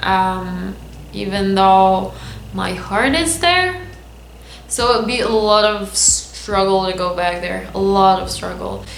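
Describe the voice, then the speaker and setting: A woman speaking at a very slow pace, with audible room echo and noticeable background noise. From Lebanon. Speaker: vlogger. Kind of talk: casual vlog monologue. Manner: halting, unscripted.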